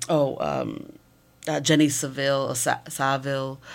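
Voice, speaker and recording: With a Massachusetts accent, a woman speaks at a very deep, low pitch and a fairly slow pace. Audible room echo surrounds her voice. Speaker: photography professor. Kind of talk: interview.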